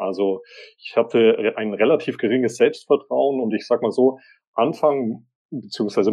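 A man with an ordinary speaking voice at a medium pitch. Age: 30s. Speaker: author and social media agency owner. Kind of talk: interview.

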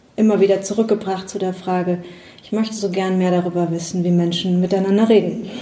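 A woman speaks with fairly even intonation, and the room echo is audible. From Rhineland-Palatinate, near Bad Kreuznach. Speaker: psychologist and coach. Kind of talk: interview. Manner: hesitant, many fillers.

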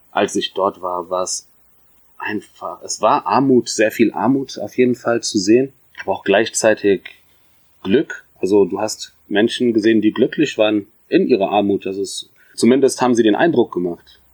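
This man's sound is dry and close, free of echo. His pace is moderate. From Germany, Mainz (Ethiopian parents). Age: 30s. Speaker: podcast guest. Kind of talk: casual interview. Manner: halting.

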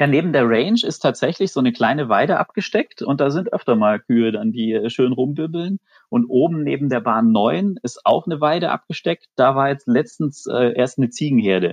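In a plain, everyday voice, a man speaks at a moderate pace with hardly any pauses, lively intonation and a fairly high pitch. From Swabia, near Stuttgart. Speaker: amateur golfer, listener guest. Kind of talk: casual chat. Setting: remote call from home.

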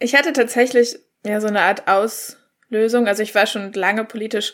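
Over a silent background in a very clean recording, a woman with an unremarkable speaking voice talks at a moderate pace. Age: young. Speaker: climate activist. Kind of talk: panel discussion.

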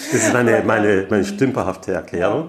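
Noticeable background noise sits behind the voice. It belongs to a man talking at a moderate pace. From Austria, Graz. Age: 60s. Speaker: engineering firm owner. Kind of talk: interview. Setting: meeting room.

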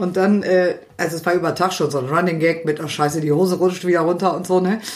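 Noticeable background noise sits under a fairly quick, monotone, flat delivery. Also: woman. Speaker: podcast co-host. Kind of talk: casual chat.

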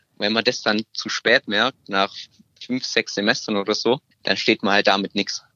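With flat, monotone intonation, a man speaks in a fairly low voice. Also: moderate pace. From Stuttgart, Germany. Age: 20s. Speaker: apprentice. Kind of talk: interview.

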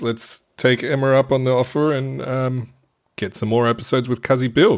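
A man with an ordinary speaking voice, medium pitch, fairly even intonation and a moderate pace. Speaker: podcast co-host. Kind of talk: casual chat.

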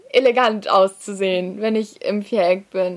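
The speaker is a woman talking at a very slow pace. Her pitch varies in an ordinary way. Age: young (19-20). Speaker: dressage rider. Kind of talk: interview.

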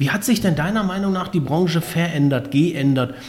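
Here a man speaks at a fairly quick pace. Noticeable background noise can be heard. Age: 40s. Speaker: podcast host. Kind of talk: interview.

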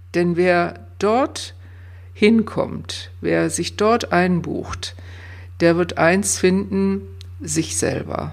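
Audible room echo colors a woman's voice. She speaks at a very slow pace. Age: 60s. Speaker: coach and former nurse. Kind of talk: interview. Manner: hesitant fillers.

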